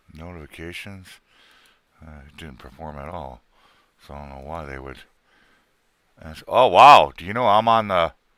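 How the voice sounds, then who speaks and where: Speaking with a very deep, low pitch and a bright, sharp tone, the man uses lively intonation, big swings in loudness, and long, frequent pauses. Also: moderate pace. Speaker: live streamer and podcaster. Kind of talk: casual chat. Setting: live stream.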